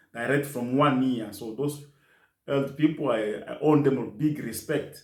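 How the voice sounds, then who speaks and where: Audible room echo on a man's voice, medium in pitch, with fairly even intonation. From DR Congo, South Kivu. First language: French and Kiswahili. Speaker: nurse assistant. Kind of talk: interview. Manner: halting.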